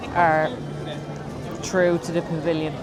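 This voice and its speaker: A woman's fairly low voice at a fairly slow pace, with audible room echo and noticeable background noise. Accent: Dublin. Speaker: travel vlogger. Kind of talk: casual vlog chat. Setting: outdoors at a theme park.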